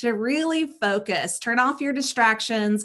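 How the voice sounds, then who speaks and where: At a moderate pace, a woman talks at a fairly high pitch with a slight Southern US accent. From US South (South Carolina). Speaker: show co-host. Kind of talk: interview.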